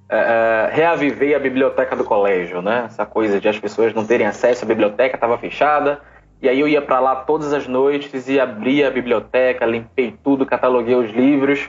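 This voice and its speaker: A man with a plain, everyday voice speaks at a moderate pace and medium pitch, with ordinary pitch variation, very even loudness and hardly any pauses. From Brazil, Recife (Pernambuco). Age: 20s. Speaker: social entrepreneur and business consultant. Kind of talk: interview.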